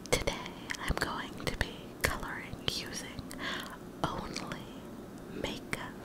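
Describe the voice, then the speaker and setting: Fairly slow speech broken by long, frequent pauses amid loud background noise. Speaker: ASMR creator. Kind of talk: ASMR whispered coloring video.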